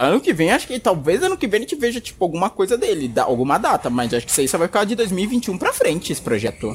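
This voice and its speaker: This man speaks at a very fast pace. His pitch is high, with very wide swings. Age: 20s. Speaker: podcast co-host. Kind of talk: casual chat.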